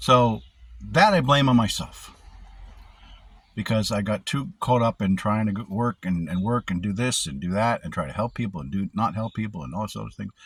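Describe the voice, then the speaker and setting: The pace is moderate. The loudness swings widely. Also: man, fairly low pitch for a man. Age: 60s. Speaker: security officer vlogger. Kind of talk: personal vlog monologue. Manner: rambling, halting.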